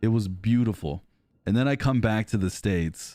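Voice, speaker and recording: With music in the background, a speaker in an American accent talks at a fairly quick pace in an animated tone. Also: man. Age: 30s. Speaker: gaming streamer. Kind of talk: casual chat. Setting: live stream.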